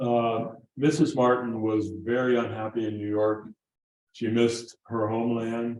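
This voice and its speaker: Audible room echo surrounds a man's voice. He speaks at a medium pitch in a flat monotone. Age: 70s. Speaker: guitar maker and lecturer. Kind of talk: lecture. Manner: halting.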